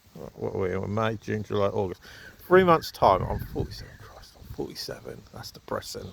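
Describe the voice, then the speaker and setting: A man with a southern English accent talks at a fairly quick pace. His loudness swings widely over noticeable background noise. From southern England, Southampton. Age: 40s. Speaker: vlogger. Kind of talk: casual opinion monologue. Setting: outdoors at an allotment.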